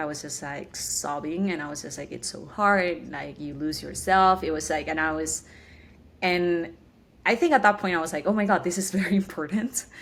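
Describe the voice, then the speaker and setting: A woman with a Spanish accent, fairly low in pitch, at a moderate pace with ordinary pitch variation. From Chile, Santiago. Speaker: tech program manager. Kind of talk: interview.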